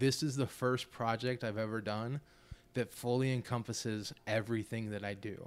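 A man with an American accent speaks at medium pitch and a moderate pace. His intonation is fairly even, an unremarkable speaking voice. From Florida. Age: 30s. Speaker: musician. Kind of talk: casual chat.

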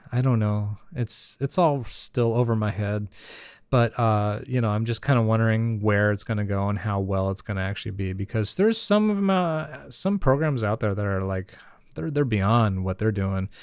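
A man with a normal speaking voice, fairly low in pitch, with ordinary pitch variation at a moderate pace, on a very clean recording with a silent background. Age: 30s. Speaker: solo podcast host. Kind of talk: casual monologue. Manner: laughs often.

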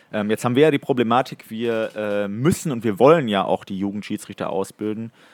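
A man talks fairly quickly at a fairly low pitch. He has an ordinary speaking voice. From Ruhr area, Germany (Datteln). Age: 20s. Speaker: hockey referee. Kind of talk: casual chat.

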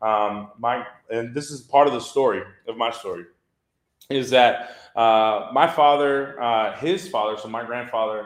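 Heard with audible room echo, a man with an American accent talks fairly slowly at a medium pitch with ordinary pitch variation. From Texas, Southwest Houston. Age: 30s. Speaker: church ministry staff. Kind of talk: testimony. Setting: church luncheon with audience.

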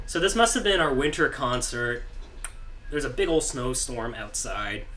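A man talks at a fairly quick pace. The recording has audible room echo and noticeable background noise. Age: 30s. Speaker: musician. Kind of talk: casual chat. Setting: studio.

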